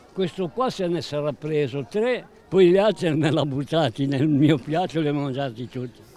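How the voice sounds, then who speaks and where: Against crowd noise in the background, a man talks at a moderate pace with lively intonation, the sound dry with no echo. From Liguria, Italy. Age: 80s+. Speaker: elderly local resident; interviewee. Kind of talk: interview, reminiscing. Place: street. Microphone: handheld.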